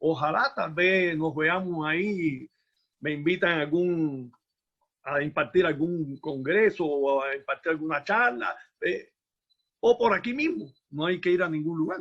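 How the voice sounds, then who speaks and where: With a Cuban accent, a man speaks at a fairly high pitch. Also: ordinary pitch variation, fairly slow pace. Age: 60s. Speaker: musician and former teacher. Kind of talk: conference talk, casual exchange. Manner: halting.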